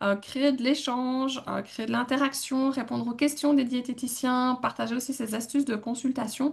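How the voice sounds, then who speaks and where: A woman with a Belgian accent speaks in a high pitch at a moderate pace, her intonation monotone and flat. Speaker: dietitian and podcast co-host. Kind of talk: casual podcast talk.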